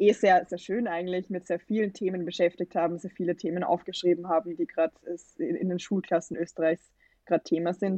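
Speaking at a fairly quick pace, a woman with a medium pitch and a dark, mellow tone keeps a fairly even intonation in a dry, close sound with no echo. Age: 20s. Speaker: student representative, campaign initiator. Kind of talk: interview.

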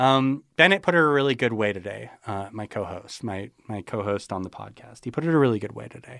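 Over a very clean recording with a silent background, a man talks at a fairly quick pace with hardly any pauses, at medium pitch and with a bright, sharp tone. His intonation is lively, and his loudness swings widely. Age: 30s. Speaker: crypto skeptic podcaster. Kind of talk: interview.

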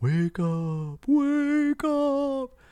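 A put-on character voice comes through at a high pitch.

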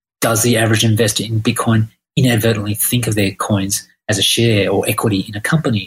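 The voice is somewhat breathy, with an Australian accent. It moves at a fairly quick pace with fairly even intonation. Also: man. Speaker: listener asking a question. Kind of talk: recorded listener question.

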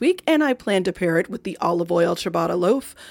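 Energetic and enthusiastic, a woman talks at a fairly quick pace with lively intonation. The recording is very clean, with a silent background. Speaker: podcast host. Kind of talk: upbeat host intro and ad read. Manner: energetic, friendly, enthusiastic.

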